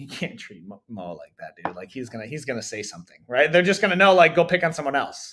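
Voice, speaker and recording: A man's fairly high, bright, sharp voice with vocal fry, very wide pitch swings, big swings in loudness and a very fast pace with hardly any pauses. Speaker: jiu-jitsu coach. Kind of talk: casual chat. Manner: halting, many restarts.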